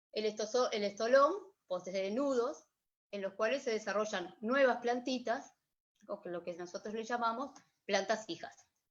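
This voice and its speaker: This woman has a normal speaking voice, pitched fairly high. She goes at a moderate pace with ordinary pitch variation. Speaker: workshop instructor. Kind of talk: online workshop lecture. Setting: video livestream.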